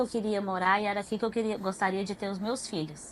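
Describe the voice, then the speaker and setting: With fairly even intonation, a woman speaks at a medium pitch in a plain, everyday voice. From Goiânia, Goiás, Brazil. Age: 30s. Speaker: pedagogue, church member guest. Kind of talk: testimony interview.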